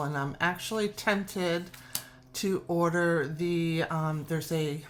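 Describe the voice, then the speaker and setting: A woman with a fairly low pitch, ordinary pitch variation and a slight New York accent. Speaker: tarot youtuber. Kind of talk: casual show-and-tell video. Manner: animated, gushing.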